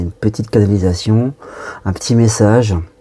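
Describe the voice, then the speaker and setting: Soft-spoken and somewhat breathy, a man talks at a moderate pace and a fairly low pitch, with a dark, mellow tone and fairly even intonation. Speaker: medium channeling spirit guides. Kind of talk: channeled spiritual message. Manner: halting.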